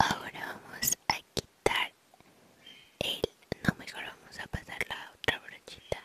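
Whispering and soft-spoken, a woman speaks at a very slow pace with big swings in loudness. The sound is dry, with no echo. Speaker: ASMR creator. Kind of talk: soft-spoken ASMR chat. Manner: soft whispered Spanish close to mic. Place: home room. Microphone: studio mic.

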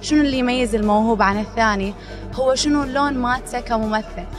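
Clear music plays behind a woman speaking at a high pitch. She talks at a moderate pace with ordinary pitch variation. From Iraq. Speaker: actress. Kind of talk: interview answer. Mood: friendly, upbeat. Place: hall. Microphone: handheld.

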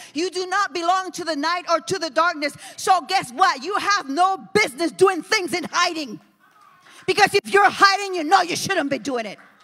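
With an American accent, a woman uses a raised, projected voice at an extremely high pitch, speaking at a moderate pace in an animated tone with ordinary pitch variation. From New Jersey. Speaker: pastor. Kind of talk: sermon. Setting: church. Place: church. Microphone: handheld.

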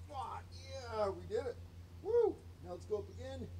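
Noticeable background noise fills the recording. Through it, a man's voice is heard. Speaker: fitness vlogger. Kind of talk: casual vlog chat. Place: garden. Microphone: phone near.

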